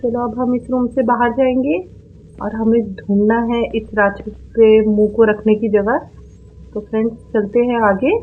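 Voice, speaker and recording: This woman has an unremarkable speaking voice, pitched fairly high, and her intonation stays fairly even. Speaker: gaming YouTuber. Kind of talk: horror game voice commentary.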